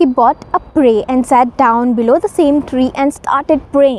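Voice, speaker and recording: A woman speaks at a fairly slow pace in a dry recording with no echo. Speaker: storyteller. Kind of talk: storytelling to camera. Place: garden. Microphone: lapel.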